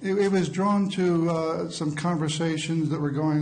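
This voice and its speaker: At a moderate pace, a man speaks with fairly high pitch and fairly even intonation, amid noticeable background noise and audible room echo. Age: 60s. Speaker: eyewitness. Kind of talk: courtroom testimony. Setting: courtroom. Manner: halting.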